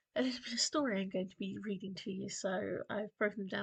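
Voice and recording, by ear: Ordinary pitch variation marks a passage someone reads aloud in a natural voice.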